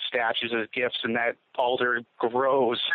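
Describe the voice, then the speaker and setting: A man with an American accent, medium in pitch, his intonation monotone and flat. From Gloucester, Massachusetts, US. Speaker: writer. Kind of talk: interview.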